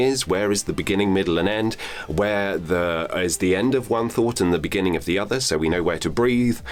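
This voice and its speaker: Against noticeable background noise, a man with a fairly low pitch talks at a fairly quick pace with lively intonation. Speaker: voice actor and voiceover coach. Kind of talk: instructional talk to camera. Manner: calm, measured, explanatory.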